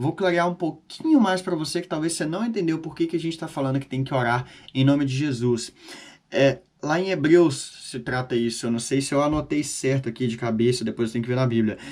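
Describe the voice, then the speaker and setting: Ordinary pitch variation from a man, delivered at a fairly quick pace. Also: fairly high pitch for a man. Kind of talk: informal Bible teaching monologue. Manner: fast; casual, conversational.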